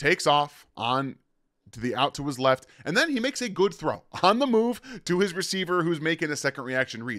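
In a very clean recording with a silent background and dry, close sound with no echo, a man with an ordinary speaking voice talks at a fairly quick pace with lively intonation. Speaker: football draft analyst. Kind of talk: film breakdown commentary. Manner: casual.

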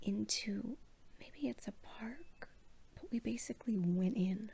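Soft-spoken and somewhat breathy, a woman talks at a very slow pace with a fairly high pitch. Her tone is dark and mellow, with ordinary pitch variation. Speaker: professional cuddler, founder of a cuddle business. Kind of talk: bedtime story told from personal memory. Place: home room. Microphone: phone near.

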